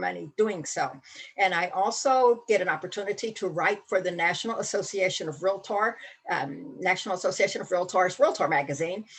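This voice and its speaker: Speaking at a fairly quick pace, a woman with a medium pitch uses lively intonation. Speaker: real estate safety trainer. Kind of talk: online training presentation. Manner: fast.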